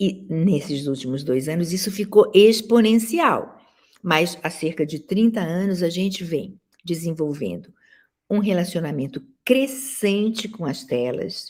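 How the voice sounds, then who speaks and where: Speaking at a fairly slow pace, a woman with a fairly low pitch sounds somewhat breathy, her intonation lively. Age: 70s. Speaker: professor and dance critic. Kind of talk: lecture.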